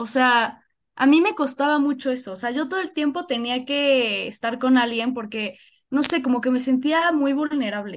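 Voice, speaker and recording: The speaker has a central Mexican accent and ordinary pitch variation. The background is quiet. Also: woman, high pitch for a woman, moderate pace. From Mexico, Puebla. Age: 20s. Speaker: university student. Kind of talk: casual chat.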